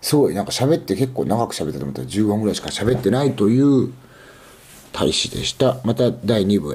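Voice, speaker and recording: A man talks at a fairly quick pace in a fairly low pitch with vocal fry and very wide pitch swings. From Aichi, Japan. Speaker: podcast host. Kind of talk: casual solo monologue. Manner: halting, many fillers.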